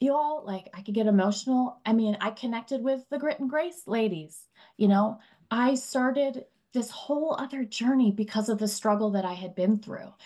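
With a dark, mellow tone and a fairly high pitch, a woman talks at a moderate pace with ordinary pitch variation. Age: 40s. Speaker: mother of young twins, anxiety author. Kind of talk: podcast interview.

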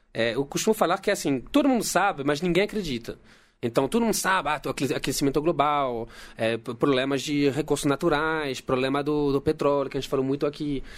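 At a fairly quick pace, a man with a fairly high pitch speaks with ordinary pitch variation in a very clean recording with a silent background. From France. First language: French (speaking Portuguese). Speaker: geologist. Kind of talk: casual chat.

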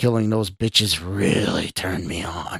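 Putting on a character voice, a man speaks slowly at a low pitch with vocal fry and a husky, rough edge. His pitch variation is ordinary, and the sound is dry and close with no echo.

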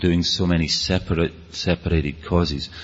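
A man with a Scottish accent and a very deep, low pitch. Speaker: speaker on rave culture. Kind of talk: talk to an audience. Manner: fast.

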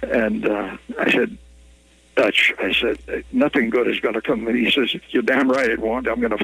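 A man keeps a moderate pace as noticeable background noise runs beneath his words. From Minnesota (Ely). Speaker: journalist. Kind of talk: storytelling interview.

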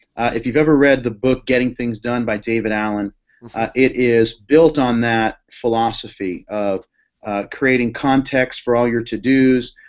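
A man with an American accent talks at a moderate pace and medium pitch in an unremarkable speaking voice, his intonation fairly even. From Boston. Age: 30s. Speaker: pastor. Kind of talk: interview.

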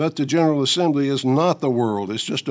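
A man with an American accent, an ordinary speaking voice, ordinary pitch variation and a moderate pace. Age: 60s. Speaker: political commentator. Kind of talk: scripted commentary.

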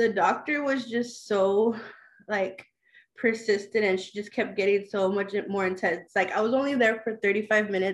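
Against a quiet background, a woman talks at a moderate pace and medium pitch in a normal speaking voice. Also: fairly even intonation. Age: 30s. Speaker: mother sharing her birth story, aspiring midwife. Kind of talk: personal testimony in an interview.

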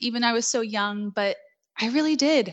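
A woman with an American accent and an unremarkable speaking voice, fairly high in pitch, at a moderate pace. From New York City, Queens. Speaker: belly dance instructor. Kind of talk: interview.

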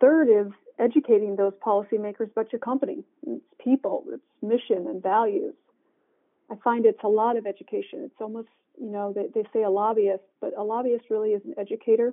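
Using a plain, everyday voice, a woman with an American accent speaks at a fairly quick pace and a fairly high pitch. Her pitch varies in an ordinary way, and her loudness swings widely. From Michigan. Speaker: corporate government affairs executive. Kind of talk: interview.

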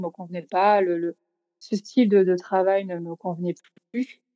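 In a southern French accent, a woman talks at a moderate pace and medium pitch with monotone, flat intonation and a dark, mellow tone, recorded dry and close with no echo. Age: 30s. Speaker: food photographer and magazine co-founder. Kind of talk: casual interview.

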